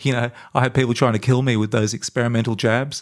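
In a very clean recording with a silent background, a man with an Australian accent speaks at a fairly quick pace and medium pitch, his intonation fairly even. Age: 50s. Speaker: podcast host and health activist. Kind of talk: unscripted monologue. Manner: hesitant, many fillers.

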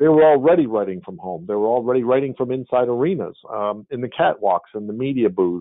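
Lively intonation marks this normal speaking voice. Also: man. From Montreal, Canada. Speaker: media company owner. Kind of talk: interview. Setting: video call.

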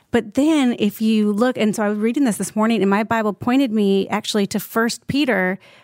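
In a dry, close recording with no echo and a silent background, a woman with an unremarkable speaking voice talks at a moderate pace, her pitch fairly high with ordinary variation. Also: very even loudness. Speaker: podcast host. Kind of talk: casual chat.

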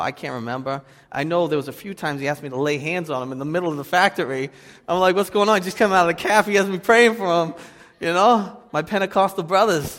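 A man with a Boston accent speaks at a very fast pace. His pitch is high, with ordinary pitch variation. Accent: Boston, noticeable. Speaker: pastor. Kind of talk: sermon. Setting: church.

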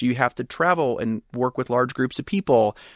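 An unremarkable speaking voice with an American accent moves at a fairly quick pace with lively intonation. The recording is very clean and dry, with a silent background and no echo. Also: man. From US South, Pensacola, Florida. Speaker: startup founder. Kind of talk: interview.

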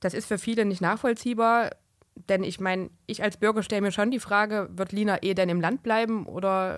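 A plain, everyday voice from a woman of medium pitch, at a moderate pace with fairly even intonation, in a very clean recording with a silent background. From Thuringia, Germany. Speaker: podcast co-host. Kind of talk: political podcast chat. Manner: formal.

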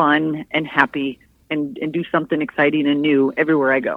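This woman has a very deep, low pitch and an American accent. She talks at a fairly quick pace. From Michigan. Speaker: Navy veteran, nonprofit event director. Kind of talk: casual interview.

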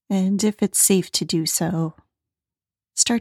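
The tone is calm and soothing, with fairly even intonation at a very slow pace. The recording is very clean, with a silent background and a dry, close sound with no echo. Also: woman. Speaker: meditation podcast host. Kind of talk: guided meditation. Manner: slow, calm, soothing, unhurried; soft, gentle, with long pauses.

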